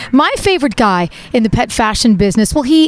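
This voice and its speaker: A woman at a moderate pace with very wide pitch swings, over noticeable background noise. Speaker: pet lifestyle show host. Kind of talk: interview questions on camera. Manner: enthusiastic.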